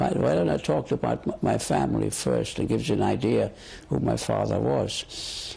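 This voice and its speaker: Loudness stays very even as the voice moves at a moderate pace with ordinary pitch variation. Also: man, very deep, low pitch for a man. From Germany (Göttingen). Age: 70s. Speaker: Holocaust survivor interviewee. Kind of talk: oral history interview. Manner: halting, with repetitions.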